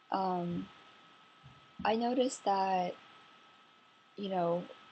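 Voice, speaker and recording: A woman with a dark, mellow tone speaks quietly and very slowly with ordinary pitch variation. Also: medium pitch for a woman. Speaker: vlogger. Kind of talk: casual vlog monologue. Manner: speaking quietly; relaxed, chill.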